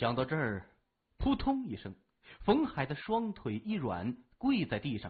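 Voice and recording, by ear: The background is quiet while a person reads aloud in a natural voice.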